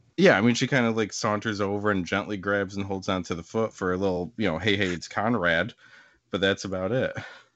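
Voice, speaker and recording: At a fairly quick pace, a man talks with fairly even intonation and a fairly low pitch in an unremarkable speaking voice. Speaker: podcast co-host. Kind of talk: casual comedic banter podcast. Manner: sarcastic, quick-witted.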